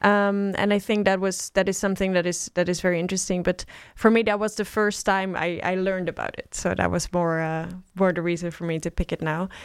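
With a Dutch accent, a woman talks at a fairly quick pace in a medium pitch and a monotone, flat intonation, on a very clean recording with a silent background. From Netherlands, small Bible Belt town. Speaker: politician. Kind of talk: interview. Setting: studio.

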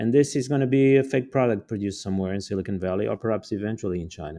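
Over a quiet background, a man with a Portuguese accent talks very fast in a fairly low pitch, his tone dark and mellow and his pitch varying in an ordinary way. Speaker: author and geopolitical theorist. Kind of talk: interview. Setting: podcast recording.

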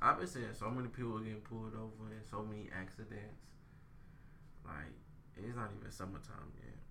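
With audible room echo, a man with an American accent speaks at a fairly quick pace in a bright, sharp tone and fairly low pitch, leaving long, frequent pauses. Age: 20s. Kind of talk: casual chat. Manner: animated, laughing.

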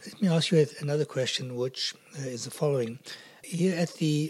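A man's plain, everyday voice, fairly high in pitch, at a moderate pace with ordinary pitch variation. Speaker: podcast interviewer. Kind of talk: interview questions.

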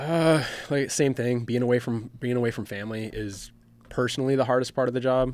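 A man with an American accent has an ordinary speaking voice and fairly even intonation. He talks at a moderate pace in a very clean recording with a silent background. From US Midwest, Michigan. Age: 40s. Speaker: firefighter. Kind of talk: interview.

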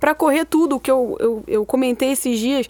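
Heard in a dry, close sound with no echo, a woman talks at a fairly quick pace in a high pitch with lively intonation. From Rio de Janeiro, Brazil. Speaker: football fan and social media personality. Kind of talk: casual chat.

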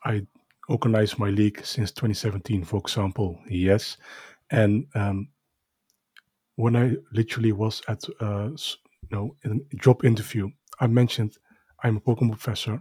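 With a Dutch accent, a man talks in a fairly low, somewhat breathy, dark and mellow voice, his fairly even intonation broken by long, frequent pauses, in a dry, close sound with no echo on a very clean recording with a silent background. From Netherlands. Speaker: podcast co-host, card collector. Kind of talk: casual chat. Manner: halting.

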